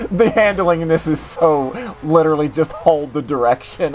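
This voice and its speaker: Noticeable background noise runs behind a moderate pace, delivered with an American accent. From West Virginia. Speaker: gaming streamer. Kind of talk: casual chat. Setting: call with guest during live stream. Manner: animated.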